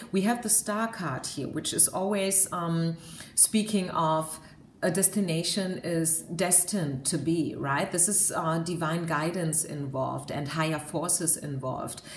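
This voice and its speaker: A woman with a German accent speaks at a fairly slow pace, her voice fairly low with ordinary pitch variation. Audible room echo and noticeable background noise are present. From Germany. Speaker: tarot card reader. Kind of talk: tarot reading monologue. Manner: hesitant, many fillers.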